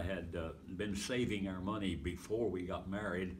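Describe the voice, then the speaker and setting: Speaking at a moderate pace with an American accent, a man with a fairly low voice keeps his intonation fairly even amid audible room echo. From Pennsylvania. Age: 80s+. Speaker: evangelist and retired pastor. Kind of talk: interview, life story. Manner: halting, many fillers.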